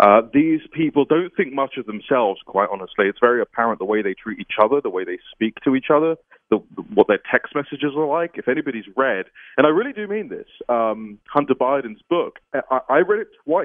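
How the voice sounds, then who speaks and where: Fairly high in pitch with very wide swings, a man speaks with a British accent. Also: fairly quick pace. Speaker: political journalist. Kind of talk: interview.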